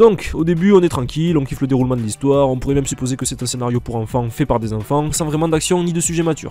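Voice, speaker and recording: Talking at a very fast pace with hardly any pauses, a man with a southwestern French accent uses a fairly high pitch and ordinary pitch variation. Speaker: anime reviewer youtuber. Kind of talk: comedic scripted commentary.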